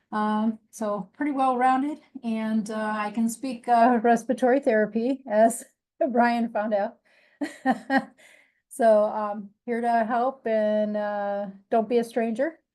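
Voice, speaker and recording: In a Midwestern accent, a woman speaks very slowly with monotone, flat intonation and a fairly high pitch. Her tone is dark and mellow, and the background is quiet. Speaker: nurse executive. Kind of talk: self-introduction at staff meeting.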